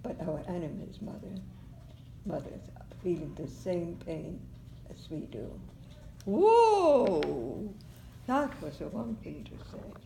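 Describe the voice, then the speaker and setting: A woman at a very slow pace, with long, frequent pauses, big swings in loudness and noticeable background noise. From Germany. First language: German. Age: 80s+. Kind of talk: oral history interview answer.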